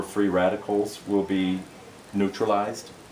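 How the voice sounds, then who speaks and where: Over noticeable background noise, a man with an American accent speaks in a fairly low pitch with monotone, flat intonation. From Minnesota. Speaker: product demonstrator. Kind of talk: sales pitch.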